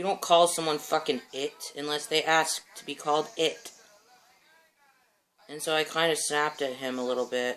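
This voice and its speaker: Long, frequent pauses break up this man's moderate pace. His pitch is fairly high and varies in an ordinary way. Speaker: vlogger. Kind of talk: casual vlog update.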